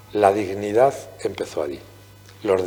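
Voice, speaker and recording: A man is speaking. There is noticeable background noise. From Spain, Guadalajara countryside (Castile). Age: 60s. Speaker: novelist. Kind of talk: interview at book presentation.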